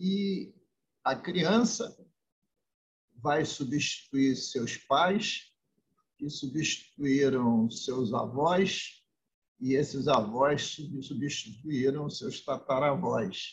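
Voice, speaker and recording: Very slow and somewhat breathy, a man talks at a fairly high pitch with lively intonation and long, frequent pauses. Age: 70s. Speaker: state politician. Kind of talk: interview. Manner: formal.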